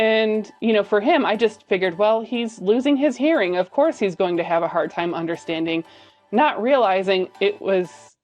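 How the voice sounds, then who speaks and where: Music plays in the background while a woman speaks. Her pitch is medium and her intonation lively. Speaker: lifestyle YouTuber. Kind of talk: casual vlog talk.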